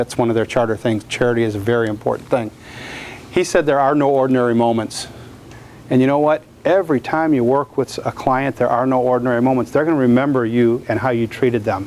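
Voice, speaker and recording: At a very fast pace, a man with an American accent speaks at a medium pitch, with very even loudness and fairly even intonation. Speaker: portrait photographer. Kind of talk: lecture.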